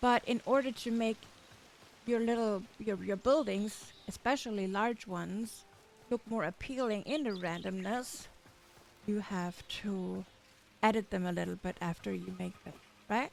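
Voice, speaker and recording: With music in the background, a woman with a German accent speaks at a fairly slow pace and medium pitch, using ordinary pitch variation and long, frequent pauses. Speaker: gaming tutorial creator. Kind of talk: tutorial. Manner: halting.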